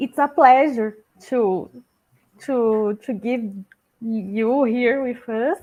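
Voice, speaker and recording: Speaking at a very slow pace with long, frequent pauses, a woman with a non-native accent uses a fairly high pitch and ordinary pitch variation. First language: Portuguese. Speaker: interviewer. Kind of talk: interview questions. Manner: halting.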